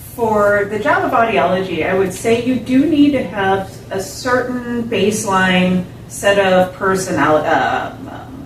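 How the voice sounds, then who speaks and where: A woman speaks fairly slowly with lively intonation. There is audible room echo and noticeable background noise. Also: medium pitch for a woman. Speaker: audiologist. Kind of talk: interview. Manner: deliberate, slow; slightly raised voice.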